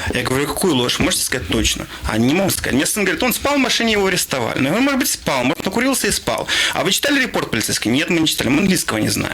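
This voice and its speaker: A high-pitched man talking very fast, with very wide pitch swings, very even loudness and noticeable background noise. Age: 30s. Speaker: online news editor. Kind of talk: interview. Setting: studio.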